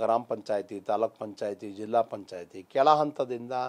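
His intonation is lively. The voice belongs to a man. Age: 50s. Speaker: politician. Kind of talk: interview. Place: studio. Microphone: lapel.

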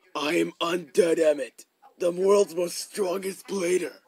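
A man puts on a character voice, pitched high. He takes a fairly slow pace. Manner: boastful.

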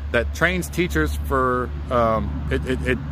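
Noticeable background noise accompanies a man whose voice is very deep and low. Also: dry sound with no echo. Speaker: urban explorer vlogger. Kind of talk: casual vlog narration, reading a sign. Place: open country. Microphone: phone near.

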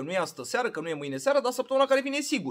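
In a quiet setting, a man sounds animated, his extremely high voice swinging very widely in pitch. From Romania. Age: 30s. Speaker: vlogger. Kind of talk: casual vlog monologue. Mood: opinionated, ranting. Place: home room. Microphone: phone near.

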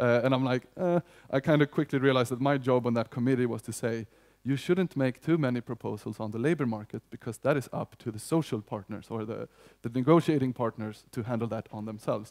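A man with a Swedish accent at a very fast pace against a quiet background. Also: ordinary pitch variation. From Sweden. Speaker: union economist. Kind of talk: conference talk. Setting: stage with audience. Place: hall. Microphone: headset.

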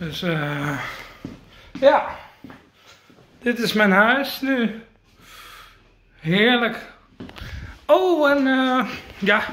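Amid audible room echo, a man with an extremely high pitch speaks at a very slow pace, leaving long, frequent pauses. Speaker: vlogger. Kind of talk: casual vlog. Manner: halting.

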